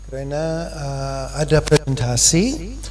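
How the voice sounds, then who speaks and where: A man with an English accent. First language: English (speaking Indonesian). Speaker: foundation chairman. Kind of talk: formal speech. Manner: halting.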